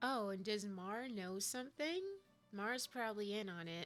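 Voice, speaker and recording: Fairly slow speech with ordinary pitch variation over music in the background. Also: woman, fairly high pitch for a woman. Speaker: video game streamer. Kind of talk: casual gameplay commentary.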